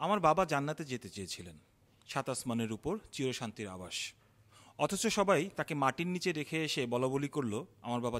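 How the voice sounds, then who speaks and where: The recording is very clean, with a silent background. A man speaks at a fairly high pitch with very wide pitch swings. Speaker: poet, filmmaker and theatre activist. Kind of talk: slam poetry performance. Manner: emotional.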